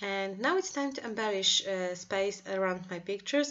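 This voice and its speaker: A woman's medium-pitched voice with lively intonation, in a Polish accent. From Poland. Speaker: craft designer. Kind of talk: tutorial. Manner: halting.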